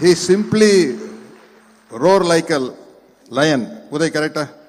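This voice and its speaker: Here a man is speaking. His pitch is fairly high. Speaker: speaker at a book launch. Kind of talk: public speech. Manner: halting in English.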